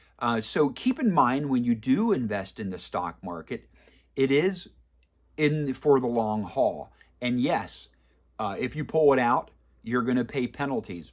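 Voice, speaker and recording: A man with an unremarkable speaking voice talks at a fairly slow pace and medium pitch, his intonation lively against a quiet background. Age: 40s. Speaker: personal finance video creator. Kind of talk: casual advice monologue. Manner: conversational with fillers.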